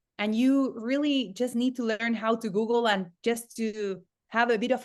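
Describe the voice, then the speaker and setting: Against a quiet background, a woman with a Spanish accent speaks at a fairly high pitch with ordinary pitch variation. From Argentina, Patagonia. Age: 30s. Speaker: entrepreneur and online education consultant. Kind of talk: podcast interview. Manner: halting, frequent repetitions.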